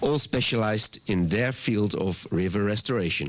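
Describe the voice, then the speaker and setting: Over noticeable background noise, a man with a Dutch accent speaks at a fairly slow pace in a fairly low pitch with ordinary pitch variation. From Netherlands. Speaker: water agency director. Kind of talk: welcome address. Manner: halting, with ums.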